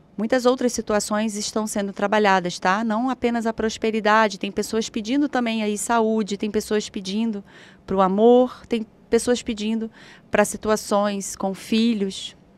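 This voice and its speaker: Her pitch fairly high, a woman speaks in a monotone, flat intonation with a dry sound and no echo. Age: 40s. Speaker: spiritual therapist; guest. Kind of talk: guided meditation; guided ritual talk on a live show. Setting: live stream studio. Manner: slow. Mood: calm, soothing guidance.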